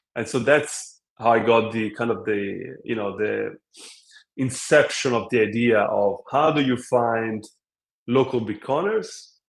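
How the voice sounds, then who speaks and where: This man talks with an Italian accent at a fairly slow pace. His intonation stays fairly even. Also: medium pitch for a man. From Italy. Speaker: app co-founder. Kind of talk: interview.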